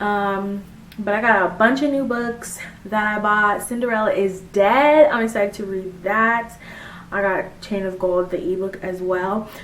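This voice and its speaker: A woman's fairly high voice with ordinary pitch variation, plus noticeable background noise and audible room echo. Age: 20s. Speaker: book vlogger. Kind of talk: casual chat. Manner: fast; animated.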